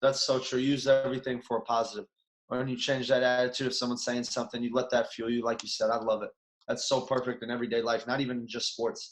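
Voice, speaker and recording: A man with a Chicago accent talks at a very fast pace with monotone, flat intonation. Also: medium pitch for a man. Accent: Chicago American. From US Midwest, Chicago. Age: 30s. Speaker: former basketball player, coach. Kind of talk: podcast interview.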